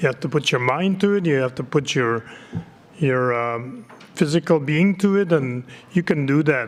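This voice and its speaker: Lively intonation marks a plain, everyday voice that moves at a moderate pace. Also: man. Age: 60s. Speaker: community politician. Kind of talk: conference speech.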